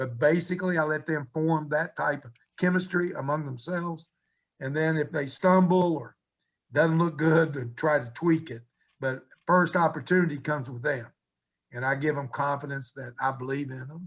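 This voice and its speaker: A man with an American accent, fairly high pitch, somewhat breathy delivery, moderate pace and fairly even intonation. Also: big swings in loudness. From West Virginia. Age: 70s. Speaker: college basketball coach. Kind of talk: radio interview.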